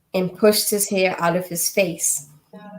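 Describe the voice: Plain reading aloud, the intonation fairly even throughout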